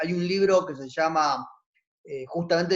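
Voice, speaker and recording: A normal speaking voice proceeds at a moderate pace. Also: man. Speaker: teacher-training college lecturer. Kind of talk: online class lecture. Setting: video call.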